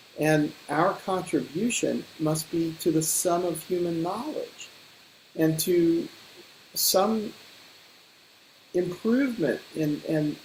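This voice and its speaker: Against noticeable background noise, a man with a high pitch speaks at a very slow pace. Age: 70s. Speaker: ecosystem restoration advocate. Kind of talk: panel discussion. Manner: reflective, with hesitations and repetitions.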